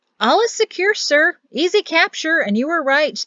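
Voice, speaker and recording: Using a put-on character voice, a woman speaks at a moderate pace in a raised, projected, squeaky voice with an extremely high pitch and very wide pitch swings. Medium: read story. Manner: respectful, brisk.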